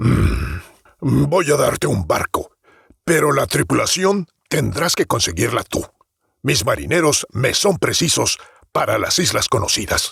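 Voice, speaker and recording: A man uses a put-on character voice at medium pitch, speaking at a fairly slow pace with very even loudness. The sound is dry and close, with no echo. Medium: read story. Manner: condescending.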